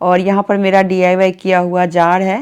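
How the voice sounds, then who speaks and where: This is a woman speaking. Her pitch is medium. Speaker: home vlogger. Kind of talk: home vlog narration. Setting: bedroom at home. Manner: soft-spoken.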